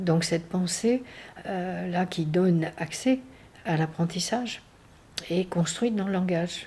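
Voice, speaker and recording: A woman speaks very slowly with long, frequent pauses and ordinary pitch variation. Her fairly low voice has a dark, mellow tone and is somewhat breathy. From southwestern France. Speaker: education researcher and professor. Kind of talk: research interview. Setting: interview recorded in Paris. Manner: hesitant, many fillers.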